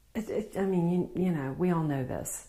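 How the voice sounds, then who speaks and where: In a Southern US accent, a woman talks at a moderate pace with ordinary pitch variation. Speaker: spiritual healer. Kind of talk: spiritual talk to camera.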